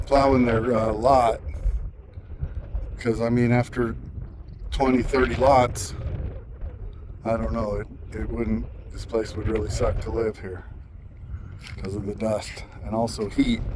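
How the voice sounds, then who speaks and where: A man talks at a fairly slow pace and medium pitch, with ordinary pitch variation and long, frequent pauses. The audio has audible room echo and noticeable background noise. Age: 60s. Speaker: local resident filming complaint. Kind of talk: casual narration while filming.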